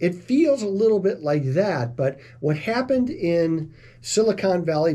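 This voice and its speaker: A man's dark, mellow, somewhat breathy voice, with lively intonation at a fairly slow pace. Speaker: financial advisor, radio host. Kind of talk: financial commentary video. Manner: casual, conversational.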